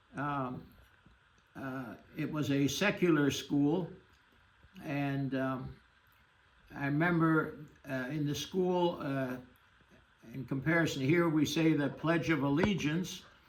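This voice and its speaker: A man speaks very slowly at a fairly high pitch, with ordinary pitch variation and long, frequent pauses. Audible room echo surrounds his voice. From Germany, grew up in Shanghai. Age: 80s+. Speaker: Holocaust refugee survivor. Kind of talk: interview testimony. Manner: halting, many fillers.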